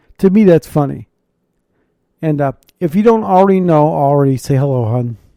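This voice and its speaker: A man with a fairly high pitch and a dark, mellow tone talks at a fairly quick pace with lively intonation, the sound dry and close with no echo. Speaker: podcast host and chaplain. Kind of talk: casual chat. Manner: rambling, chatty.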